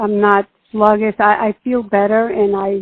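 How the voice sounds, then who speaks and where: A woman's fairly high-pitched voice. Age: 60s. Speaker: patient sharing diet experience. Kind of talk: interview. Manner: halting.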